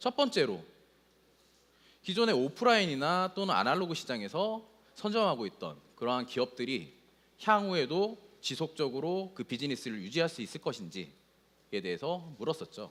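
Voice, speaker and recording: At a moderate pace, a man speaks with long, frequent pauses. His pitch is fairly high and swings very widely. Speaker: solutions architect presenting at a tech conference. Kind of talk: conference presentation.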